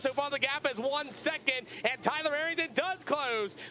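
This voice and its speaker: Speaking in a raised, projected voice with an American accent, a man has an extremely high pitch, a bright, sharp tone, ordinary pitch variation and a moderate pace. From Pennsylvania. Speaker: race announcer. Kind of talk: live commentary; driver lineup announcement. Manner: animated.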